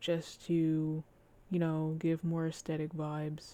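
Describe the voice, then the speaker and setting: A soft-spoken woman's very deep, low voice with a dark, mellow tone at a very slow pace. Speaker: Sims 4 builder. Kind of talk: casual gameplay commentary.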